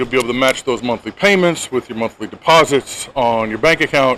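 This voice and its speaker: In an American accent, a man speaks fairly quickly at a medium pitch. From United States. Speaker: veteran travel vlogger. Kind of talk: casual tutorial. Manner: conversational, with fillers.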